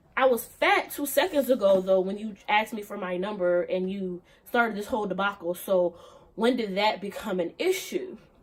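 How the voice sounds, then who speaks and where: The tone is animated. The speech is loud. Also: woman. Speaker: vlogger. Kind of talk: casual vlog monologue.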